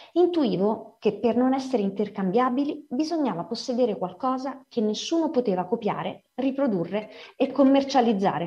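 A woman speaks at a moderate pace in a high pitch with a dark, mellow tone and lively intonation. Her loudness stays very even, and audible room echo surrounds her voice. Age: 40s. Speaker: writer and editor. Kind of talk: lecture.

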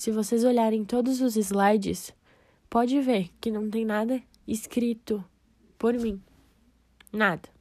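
A woman talks very slowly, with long, frequent pauses and fairly even intonation at a fairly high pitch. The recording is very clean, with a silent background. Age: 20s. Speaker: nursing student. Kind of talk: personal podcast monologue.

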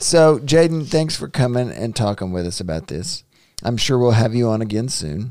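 The voice has a dark, mellow tone and a Southern US accent. Its pitch swings very widely. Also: man, medium pitch for a man. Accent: Southern US drawl. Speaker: podcast host, father. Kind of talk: casual chat. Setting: home studio.

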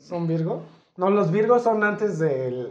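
A man talks with lively intonation, and audible room echo surrounds his voice. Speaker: podcast host. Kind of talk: casual chat.

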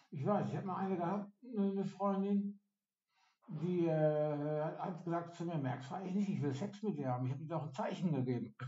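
At a fairly quick pace, a man with a high pitch talks with ordinary pitch variation. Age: 50s. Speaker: day center client. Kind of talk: casual chat.

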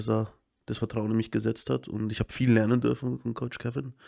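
Music plays in the background as a man of medium pitch speaks in a dry, close sound with no echo. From Munich, Upper Bavaria. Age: 30s. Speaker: American football head coach. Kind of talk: casual interview chat.

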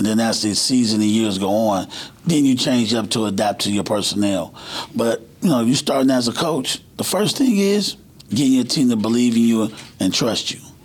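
Against noticeable background noise, a man with an American accent speaks at a moderate pace in a medium pitch with ordinary pitch variation. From Cleveland, Ohio. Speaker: high school basketball coach. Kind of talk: casual chat.

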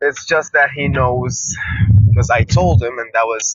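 A man speaks with a Gulf Arabic accent. His pitch is medium, with ordinary variation. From Bahrain. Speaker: caller. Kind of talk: voicemail testimony.

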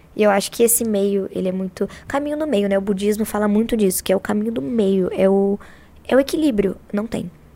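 This woman's voice sits at medium pitch with a dark, mellow tone. She talks at a fairly quick pace with ordinary pitch variation. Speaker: rapper, battle MC. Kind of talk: casual chat. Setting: studio.

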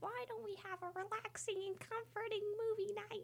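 A put-on character voice comes through squeaky and at an extremely high pitch. It moves at a moderate pace over clear background noise.

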